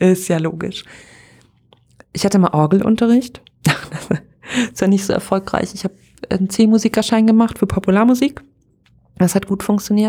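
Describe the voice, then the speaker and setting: A woman's medium-pitched voice, animated in tone, fairly quick, with ordinary pitch variation. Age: 30s. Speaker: podcaster and pastor. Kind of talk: casual solo podcast monologue. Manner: animated, frequent laughter.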